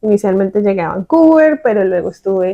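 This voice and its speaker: A woman with a Bogotá accent speaks in a dark, mellow tone, the sound dry and close with no echo. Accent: Bogotá Colombian Spanish. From Colombia, Bogotá. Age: 30s. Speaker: podcast co-host. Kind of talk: casual conversational podcast. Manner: hesitant, many fillers.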